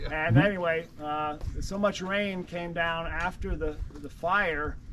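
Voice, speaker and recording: With a bright, sharp tone and a high pitch, a man speaks at a very slow pace with fairly even intonation, big swings in loudness and audible room echo. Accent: American. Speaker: tour guide. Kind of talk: guided walking tour talk. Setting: outdoors. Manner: halting, many fillers.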